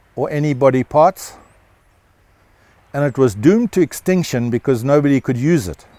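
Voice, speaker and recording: A man's fairly high-pitched voice in a South African accent, dark and mellow in tone, with lively intonation, a fairly slow pace, and a dry, close sound with no echo. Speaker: rancher and holistic management educator. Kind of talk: interview answer.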